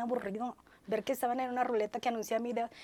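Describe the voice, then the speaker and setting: A woman's high-pitched voice with an animated tone. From Ciudad Madero, Tamaulipas, Mexico. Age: 50s. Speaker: entertainment journalist. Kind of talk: interview.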